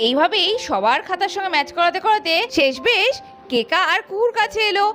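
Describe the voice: An extremely high-pitched woman talks fast, with big pitch swings. Her tone is fairly bright.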